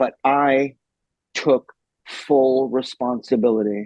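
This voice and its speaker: A man's medium-pitched voice with fairly even intonation at a very slow pace, in a dry, close sound with no echo. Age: 60s. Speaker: motivational speaker. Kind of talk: interview answer.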